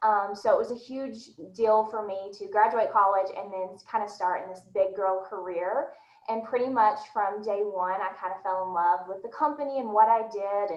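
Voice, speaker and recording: With a slight Southern US accent, a woman speaks at medium pitch and a moderate pace with fairly even intonation. Her loudness swings widely, and room echo is audible. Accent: slight Southern American. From US South, Nashville, Tennessee. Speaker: recruiting manager. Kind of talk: panel discussion.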